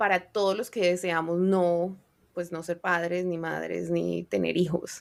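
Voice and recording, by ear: At a fairly slow pace, a woman speaks with vocal fry.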